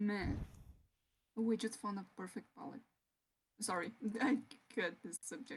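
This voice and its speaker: Somewhat breathy and fairly high, a woman speaks fairly slowly with a Portuguese accent, ordinary pitch variation, big swings in loudness, and long, frequent pauses. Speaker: digital artist. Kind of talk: casual chat on a live stream. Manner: halting.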